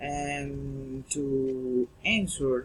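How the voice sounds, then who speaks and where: A man is speaking. He has a Spanish accent. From Colombia, Girardot. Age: 30s. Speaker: English language student. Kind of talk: class presentation. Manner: halting.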